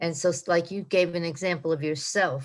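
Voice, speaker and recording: At a moderate pace, a woman speaks in a fairly low pitch on a very clean recording with a silent background. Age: 90s. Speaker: retreat participant. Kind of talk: group discussion. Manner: halting.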